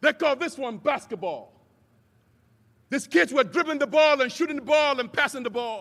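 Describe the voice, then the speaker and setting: Animated and extremely high-pitched, a man speaks at a moderate pace in a bright, sharp tone with ordinary pitch variation and long, frequent pauses. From Nigeria, Lagos. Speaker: commencement speaker. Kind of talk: commencement speech.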